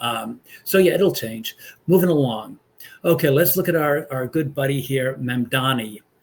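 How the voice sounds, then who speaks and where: A man with an American accent talks at a moderate pace in a fairly high, somewhat breathy voice with ordinary pitch variation. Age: 60s. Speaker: pastor and political commentator. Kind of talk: casual political commentary monologue. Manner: halting, many fillers.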